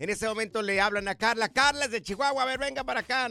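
A man with a raised, projected voice and a bright, sharp tone speaks at a very fast pace in a very clean recording with a silent background. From Mexico, Jalisco (rural). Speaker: radio host. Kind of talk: casual chat. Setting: studio. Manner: animated.

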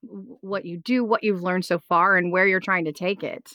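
A woman speaks in a normal speaking voice. Her pitch is medium and her pace fairly quick. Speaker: podcast host. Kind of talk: interview conversation.

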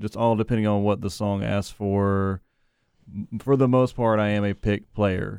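Speaking at a moderate pace, a man with an American accent uses an ordinary speaking voice with a fairly low pitch and fairly even intonation. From North Carolina, Wilson. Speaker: musician, bassist. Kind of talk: casual interview. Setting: radio studio.

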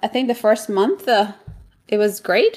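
The speaker has a Colombian accent. The intonation stays fairly even. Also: woman. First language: Spanish. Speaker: real estate investor. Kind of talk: interview.

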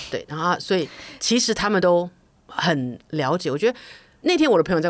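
Speaking at a fairly quick pace, a woman's voice makes very wide pitch swings. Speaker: podcast co-host, food enthusiast. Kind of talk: casual chat.

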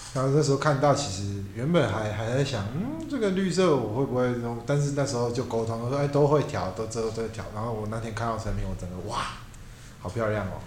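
A man with a medium pitch and ordinary pitch variation speaks at a fairly quick pace, with noticeable background noise and audible room echo. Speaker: tattoo artist. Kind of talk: casual chat.

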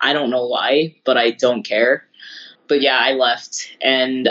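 A man with a normal speaking voice at medium pitch, talking at a fairly slow pace. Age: 30s. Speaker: podcast co-host, baseball and metal fan. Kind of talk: casual chat.

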